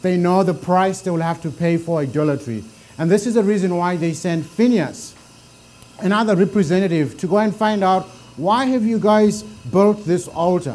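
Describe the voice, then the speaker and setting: A man with a Zimbabwean accent speaks with lively intonation. Audible room echo fills the recording. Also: moderate pace. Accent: deep Zimbabwean. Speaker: bible teacher. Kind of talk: lecture.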